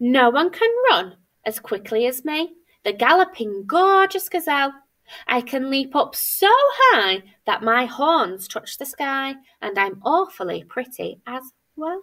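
Against a quiet background, a woman speaks fairly slowly in a high pitch with a bright, sharp tone, animated and playful, her pitch swinging very widely. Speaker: primary school teacher; teacher. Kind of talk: children's story reading aloud. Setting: recorded video for pupils. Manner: animated, playful storyteller with dramatic character voices; warm, clear, child-friendly pacing. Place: classroom. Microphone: webcam.

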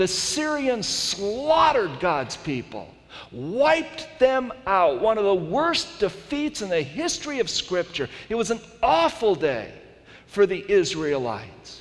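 Using very wide pitch swings, a man talks in a high voice at a fairly slow pace. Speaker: pastor. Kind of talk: sermon. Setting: stage with audience. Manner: animated, storytelling, with humor and dramatic retelling. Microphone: headset.

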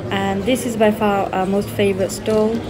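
A woman's voice with music in the background. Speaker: vlogger filming a market visit. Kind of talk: casual vlog chat. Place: market. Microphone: phone near.

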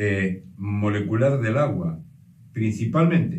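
Audible room echo carries a man's fairly low-pitched, somewhat breathy voice as he talks at a fairly slow pace. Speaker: presenter. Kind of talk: explanatory talk. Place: home room. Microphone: camera far.

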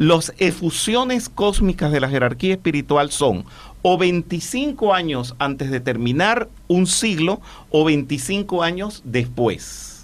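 Fairly high male voice at a very slow pace, with very wide pitch swings. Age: 60s. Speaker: spiritual teacher. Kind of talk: interview. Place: studio. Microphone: studio mic.

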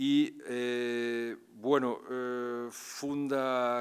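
The background stays quiet while a man speaks in a medium pitch. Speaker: university lecturer introducing the poet. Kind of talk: formal introduction. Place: hall. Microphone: podium.

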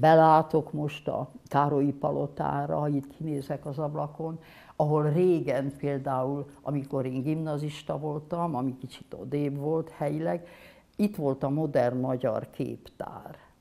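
A woman's very deep, low voice, dark and mellow in tone, at a very slow pace. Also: fairly even intonation. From Hungary. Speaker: painter. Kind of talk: interview. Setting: studio workshop. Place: studio. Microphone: lapel.

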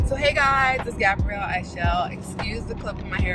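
A woman speaks. Loud music plays in the background. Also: dry sound with no echo. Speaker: vlogger. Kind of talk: casual vlog chat. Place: car. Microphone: phone near.

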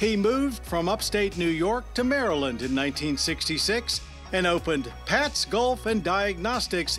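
With music in the background, a man talks at a very even loudness and hardly ever pauses. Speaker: TV show host. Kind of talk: documentary tribute narration.

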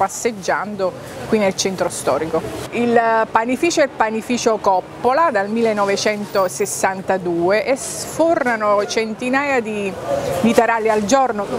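A woman speaks at a very slow pace with ordinary pitch variation. The sound is dry with no echo, and background noise is noticeable. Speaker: presenter. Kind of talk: presenter commentary to camera. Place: street. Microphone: lapel.

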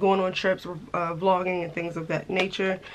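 Here a woman is speaking. She goes at a fairly quick pace. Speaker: lifestyle vlogger. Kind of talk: casual vlog chat.

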